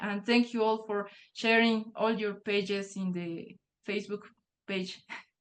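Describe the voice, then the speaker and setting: A woman with a Spanish accent speaks at a fairly slow pace, her fairly high pitch held in a monotone, flat intonation. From Bolivia. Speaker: nature journaling guide author. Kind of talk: online workshop remarks. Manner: halting, repeats words.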